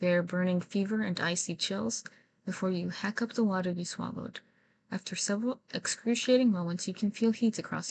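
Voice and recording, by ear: The text is read aloud. A natural voice does the reading.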